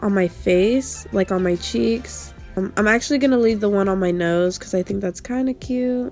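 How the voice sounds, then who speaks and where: A woman's fairly high voice comes through with music playing behind her. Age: 20s. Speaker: YouTuber. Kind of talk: casual tutorial talk to camera.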